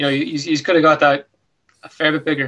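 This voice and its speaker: A man with an Irish accent talks at a fairly quick pace in a monotone, flat intonation against a quiet background. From Ireland. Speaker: podcast host. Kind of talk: casual chat. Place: home room. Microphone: video call.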